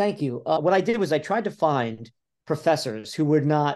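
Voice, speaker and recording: With lively intonation, a man in an American accent talks at a moderate pace. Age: 60s. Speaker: author. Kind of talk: interview. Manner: animated.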